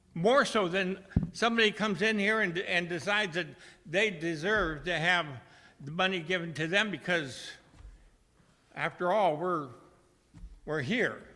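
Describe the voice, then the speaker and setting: Bright and sharp in tone, a man's high voice is heard with audible room echo. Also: long, frequent pauses. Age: 70s. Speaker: member of the public speaking at council meeting. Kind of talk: public comment. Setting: city council meeting. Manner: halting.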